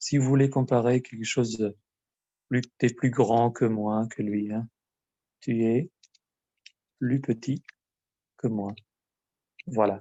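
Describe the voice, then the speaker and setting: Long, frequent pauses mark a man's very slow speech, delivered at a medium pitch with fairly even intonation. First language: Albanian (speaking French). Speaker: language teacher. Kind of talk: lesson. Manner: hesitant, many filler sounds.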